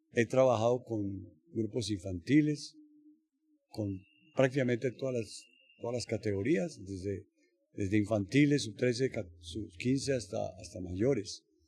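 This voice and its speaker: A man speaks fairly slowly with long, frequent pauses. His fairly low, somewhat breathy voice has a dark, mellow tone and ordinary pitch variation. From Colombia, Bogotá. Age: 70s. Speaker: judo coach. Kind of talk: interview. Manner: halting, many fillers.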